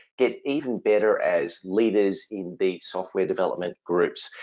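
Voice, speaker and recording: Against a quiet background, a man with an Australian accent speaks at a moderate pace. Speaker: innovation consultant and speaker. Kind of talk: webinar presentation.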